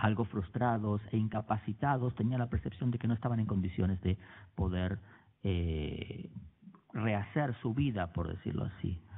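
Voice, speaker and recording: A man at a fairly low pitch and a fairly slow pace. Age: 40s. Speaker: writer. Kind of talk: public talk. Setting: auditorium with audience. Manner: halting, many fillers.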